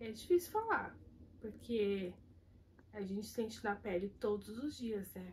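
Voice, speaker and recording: Somewhat breathy, a woman speaks at a fairly slow pace, leaving long, frequent pauses. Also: medium pitch for a woman, ordinary pitch variation. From Brazil, São Paulo city. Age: 30s. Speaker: kitchen worker interviewee. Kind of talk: interview testimony.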